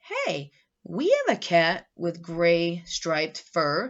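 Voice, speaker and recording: A woman speaks in a put-on character voice. It is fairly low-pitched and very slow. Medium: read story.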